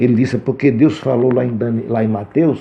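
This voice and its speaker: This man talks at a moderate pace. His pitch is medium, with ordinary pitch variation. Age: 60s. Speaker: Bible teacher. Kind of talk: lecture. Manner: halting.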